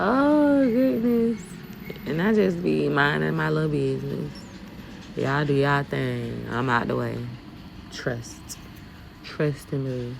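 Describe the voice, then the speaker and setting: A woman at a very slow pace in a Southern US accent, with audible room echo and noticeable background noise. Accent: Southern US country. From US South, Fort Mitchell, Alabama. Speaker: dump truck driver, vlogger. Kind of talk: casual vlog while driving. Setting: in a truck. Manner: animated.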